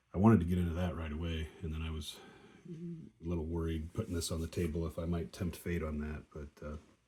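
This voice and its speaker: A man talks at a fairly quick pace in a very deep, low pitch and a flat monotone. His tone is dark and mellow, with a somewhat breathy quality. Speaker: board wargame player. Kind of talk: casual tutorial. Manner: halting, many fillers.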